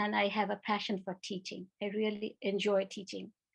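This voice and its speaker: Someone with a Bengali accent speaks at a fairly slow pace. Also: woman. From India, Kolkata. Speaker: retired education professor. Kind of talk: conference talk.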